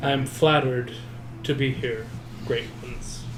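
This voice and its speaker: Through loud background noise, a man does a put-on character voice at a medium pitch and a moderate pace. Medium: actual play. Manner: respectful, formal.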